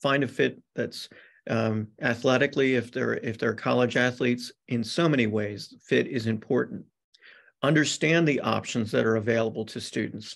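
The voice has vocal fry and ordinary pitch variation at a moderate pace. The background is quiet. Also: man. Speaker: presenter. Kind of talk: presentation to parents. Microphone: video call.

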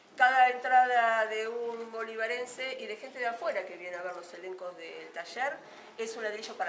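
Speaking at a moderate pace with ordinary pitch variation, a woman swings widely in loudness, with audible room echo and light background noise. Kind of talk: press statement to reporters. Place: hall. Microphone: handheld.

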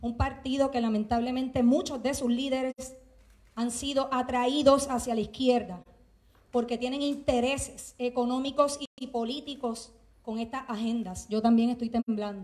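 Woman with a high pitch at a moderate pace. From Puerto Rico. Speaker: teacher and activist; public speaker. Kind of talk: impassioned speech. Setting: legislative chamber with audience. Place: hall. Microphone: handheld.

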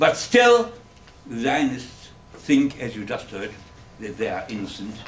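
A man with a German accent speaks at a fairly slow pace. Light background noise and audible room echo are present. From Germany. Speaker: Holocaust survivor and author. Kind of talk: public lecture. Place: classroom. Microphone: camera far.

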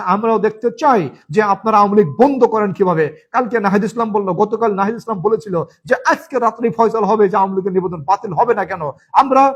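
A man's animated, high-pitched voice with ordinary pitch variation. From Gopalganj, Bangladesh. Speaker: political commentator vlogger. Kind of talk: political monologue vlog.

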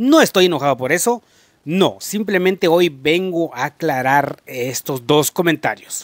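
In a quiet background with a dry sound and no echo, a man with a slight Mexican accent speaks fairly slowly at a fairly high pitch, his intonation lively. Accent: slight Mexican tinge. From rural Guatemala. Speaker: YouTuber. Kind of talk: casual vlog monologue. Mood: earnest, explaining, apologetic. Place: home room. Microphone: handheld.

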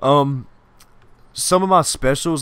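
The speaker is a man. Ordinary variation shows up in his pitch. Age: 20s. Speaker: gaming YouTuber. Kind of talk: casual chat. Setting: home recording with co-host. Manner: rambling, loose delivery.

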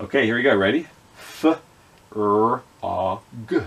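A man at a fairly slow pace. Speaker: children's educator. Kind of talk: children's phonics lesson. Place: home room.

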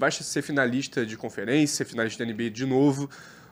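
The voice moves at a moderate pace with an animated tone. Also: man. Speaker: basketball podcast host. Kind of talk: casual banter. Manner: animated, slangy.

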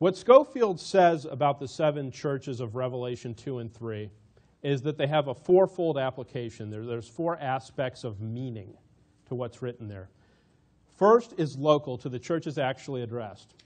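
A man at a moderate pace, with ordinary pitch variation, big swings in loudness, and a quiet background. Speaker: church lecturer. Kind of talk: lecture. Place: hall. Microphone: podium.

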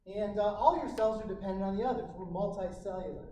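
Speaking at a fairly quick pace, a man has a high pitch and ordinary pitch variation. Room echo is audible, along with light background noise. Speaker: physiology instructor. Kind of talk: lecture. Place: classroom. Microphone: camera far.

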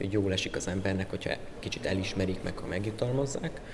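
Noticeable background noise is present. Over it, a man talks at a fairly quick pace. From southern Hungary, Pécs; Hungary. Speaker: music student, classical guitarist. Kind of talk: interview; interview answer. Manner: hesitant, repeats words. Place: hall.

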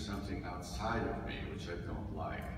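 There is strong room echo and noticeable background noise around this man's voice. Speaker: minister giving a talk. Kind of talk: sermon. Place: church. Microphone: camera far.

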